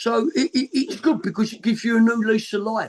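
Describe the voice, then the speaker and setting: A man speaks in a Cockney accent at a moderate pace. His voice is extremely high in pitch, with lively intonation. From East London, England. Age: 60s. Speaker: punk band musician. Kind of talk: interview.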